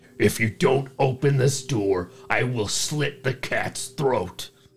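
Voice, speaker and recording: A put-on character voice growls along at a fairly slow pace. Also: man, medium pitch for a man. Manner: sinister, menacing.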